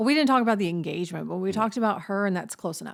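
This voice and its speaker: On a very clean recording with a silent background, a woman with a Southern US accent speaks at a medium pitch. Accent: Southern US drawl. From Southern United States. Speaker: podcast co-host. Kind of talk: casual podcast conversation.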